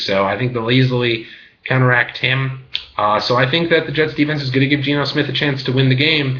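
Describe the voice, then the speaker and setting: Amid noticeable background noise, a man with a medium pitch and ordinary pitch variation talks at a fairly quick pace. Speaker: graduate student; sports picks commentator. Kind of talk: casual talk to camera. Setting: laptop webcam.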